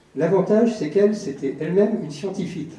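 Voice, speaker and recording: The recording has audible room echo and noticeable background noise. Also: man. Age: 60s. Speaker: audience member asking a question. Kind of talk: audience question at a public debate. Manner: halting, many hesitations.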